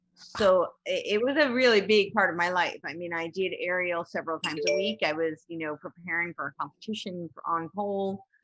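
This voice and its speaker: In a plain, everyday voice with an American accent, the speaker talks at a fairly quick pace with hardly any pauses, ordinary pitch variation, and big swings in loudness. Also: woman, medium pitch for a woman. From New Jersey. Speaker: motivational speaker and podcaster. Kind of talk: podcast interview.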